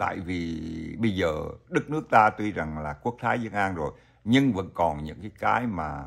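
A man's very deep, low pitch with vocal fry, very wide pitch swings and a moderate pace. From Vietnam. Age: old. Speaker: YouTuber, retiree vlogger. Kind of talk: casual vlog monologue. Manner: halting, many fillers. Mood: friendly, smiling. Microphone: webcam.

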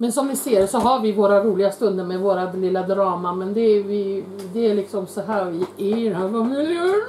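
A woman speaks at a fairly quick pace with hardly any pauses, her medium pitch moving in ordinary ways, with audible room echo and light background noise. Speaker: YouTuber, mother eating with her son on camera; YouTuber. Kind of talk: casual mukbang chat. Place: kitchen. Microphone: camera far.

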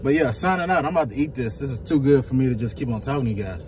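A man speaks over noticeable background noise. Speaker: food reviewer. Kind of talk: casual vlog chat. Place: car. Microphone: phone near.

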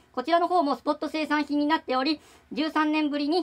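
The woman speaks at a fairly quick pace. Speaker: hobby shop staff presenting products. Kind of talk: product presentation. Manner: halting, many fillers; polite, formal.

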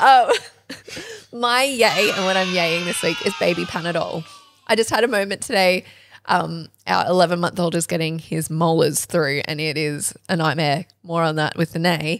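A woman with an Australian accent, fairly low in pitch, at a moderate pace with ordinary pitch variation. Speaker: podcast co-host. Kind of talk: casual chat.

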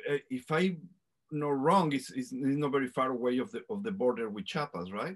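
A man speaks with a Mexican accent, leaving long, frequent pauses. The background is quiet. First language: Spanish. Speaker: show host. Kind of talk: casual interview. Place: home room. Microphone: video call.

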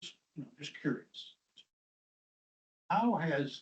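His voice is somewhat breathy and fairly high in pitch. The man talks at a moderate pace. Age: 70s. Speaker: county board member. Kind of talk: public meeting discussion. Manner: halting.

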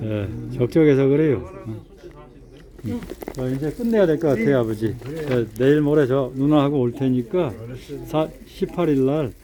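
Noticeable background noise sits behind a man with a medium pitch and ordinary pitch variation. He talks at a fairly slow pace with long, frequent pauses. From South Korea. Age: 50s. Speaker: retired special forces officer. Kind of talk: casual family talk during hospital visit. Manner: warm, reassuring.

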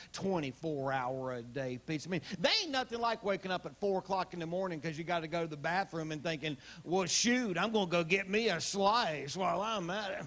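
A man speaks in a high voice with lively intonation and hardly any pauses over noticeable background noise. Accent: Southern US. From Southern US. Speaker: stand-up comedian. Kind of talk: live stand-up comedy set. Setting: live audience on a cruise ship.

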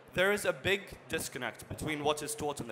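A man's bright, sharp, fairly high-pitched voice at a moderate pace with ordinary pitch variation, over light background noise. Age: young. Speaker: conference presenter, business analyst. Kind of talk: conference presentation. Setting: stage with audience. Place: hall.

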